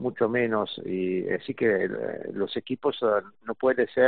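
Speaking very slowly in an Italian accent, a man keeps a medium pitch and fairly even intonation. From Italy. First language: Italian (speaking Spanish). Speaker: golf journalist and tournament organizer. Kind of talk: interview.

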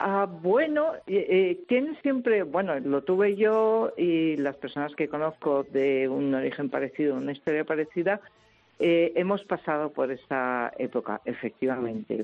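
A woman speaks at a fairly slow pace in a fairly low pitch. Her pitch swings very widely. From Madrid, Spain. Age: 60s. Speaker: translator and writer. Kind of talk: radio interview.

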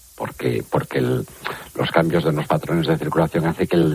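With noticeable background noise, a man speaks at a fairly quick pace in a very deep, low pitch. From Galicia, Spain. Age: 60s. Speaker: water researcher. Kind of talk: interview.

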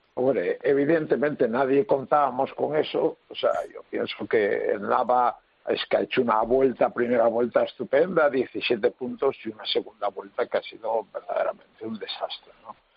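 His loudness rises and falls in big swings. The man keeps a moderate pace. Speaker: handball coach. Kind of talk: radio panel discussion.

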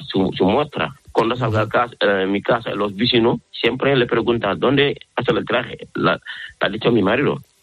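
This man has a non-native accent and a medium-pitched voice. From Senegal. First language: not Spanish (speaking Spanish). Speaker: fashion designer. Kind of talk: interview. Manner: halting.

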